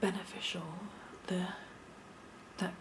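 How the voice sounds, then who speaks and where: A soft-spoken woman with a British accent talks at a very slow pace in a fairly low pitch, with noticeable background noise. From United Kingdom. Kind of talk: ASMR show-and-tell.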